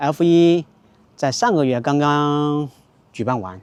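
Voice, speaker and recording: This man's voice sits at a fairly high pitch. His intonation is lively. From rural county town in China. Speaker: Mandarin teacher vlogger. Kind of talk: casual talk to camera.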